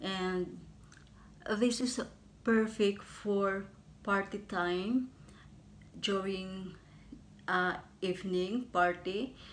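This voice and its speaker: With fairly even intonation, a woman talks at a very slow pace broken by long, frequent pauses. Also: medium pitch for a woman. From Philippines. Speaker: beauty vlogger and overseas caregiver; beauty vlogger. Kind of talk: makeup review tutorial. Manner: halting. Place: home room. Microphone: phone near.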